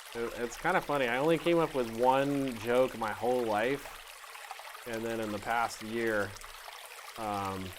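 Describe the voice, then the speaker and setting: A soft-spoken man with long, frequent pauses, amid noticeable background noise. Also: medium pitch for a man, ordinary pitch variation, fairly slow pace. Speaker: artist teaching art. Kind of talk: casual art tutorial. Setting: studio with blue screen. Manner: playful, joking.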